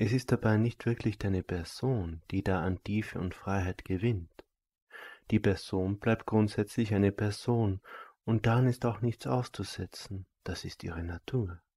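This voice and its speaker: A man speaks at a fairly slow pace in a fairly low pitch, his voice somewhat breathy with a dark, mellow, calm and soothing tone, fairly even intonation, and a dry, close sound with no echo. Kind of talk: guided meditation. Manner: slow, calm and soft-spoken, with a measured, soothing delivery; formal, elevated and abstract wording, almost lecture-like.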